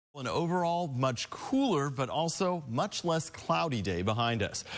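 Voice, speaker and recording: A man talks at a fairly slow pace in a plain, everyday voice. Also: fairly high pitch for a man. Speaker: meteorologist. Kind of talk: TV weather forecast.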